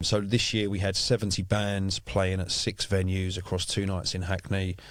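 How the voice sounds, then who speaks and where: On a very clean recording with a silent background, a man speaks at a moderate pace in a fairly low voice with monotone, flat intonation. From South East London, England. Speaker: music industry executive. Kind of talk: podcast interview. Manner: hesitant, many fillers.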